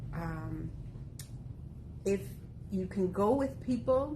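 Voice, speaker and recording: The speaker is a woman with vocal fry. Audible room echo surrounds her voice. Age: 60s. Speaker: walking group member. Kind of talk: casual group talk.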